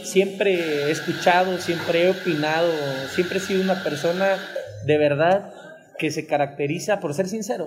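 Music plays in the background as a man talks at a moderate pace. His pitch is high and his intonation fairly even. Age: 20s. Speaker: local politician. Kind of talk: interview. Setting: café, in person. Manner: passionate.

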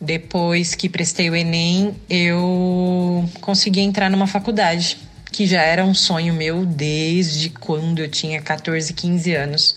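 Speaking at a very slow pace, a woman holds a fairly low pitch with monotone, flat intonation and very even loudness. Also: hardly any pauses. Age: 30s. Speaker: podcast host, physical education student. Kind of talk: personal testimony monologue. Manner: hesitant, many filler sounds.

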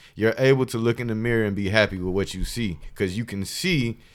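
The recording is very clean, with a silent background. A man talks at a fairly quick pace with ordinary pitch variation. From Columbus, Georgia, US South. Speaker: college friend of the hosts. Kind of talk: casual chat.

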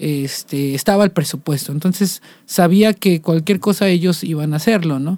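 On a very clean recording with a silent background, a man speaks at a high pitch in a dark, mellow tone with ordinary pitch variation. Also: moderate pace. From Mexico, Coatepec, Veracruz. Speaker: musician. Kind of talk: casual interview chat.

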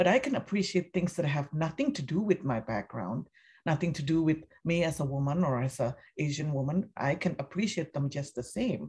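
Against a quiet background, a woman with a very deep, low pitch and a dark, mellow tone talks at a fairly quick pace, somewhat breathy, with lively intonation. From Indonesia. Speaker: film critic. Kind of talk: casual interview.

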